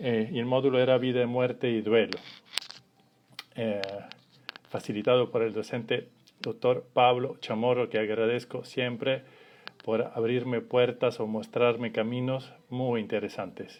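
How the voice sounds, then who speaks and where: Over noticeable background noise, a man talks at a fairly slow pace with long, frequent pauses, his medium-pitched voice flat and monotone. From Italy. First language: Italian (speaking Spanish). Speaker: family constellations facilitator. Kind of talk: live stream introduction. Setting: Instagram live. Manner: hesitant, many fillers.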